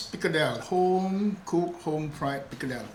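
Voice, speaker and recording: Over noticeable background noise and audible room echo, a man talks at a fairly quick pace in a high pitch with ordinary pitch variation. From Malaysia, Malacca (Kristang Portuguese-Eurasian community). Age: 60s. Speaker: home cook, pickle maker, former fisherman. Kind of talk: cooking demonstration. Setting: wooden house in Malacca.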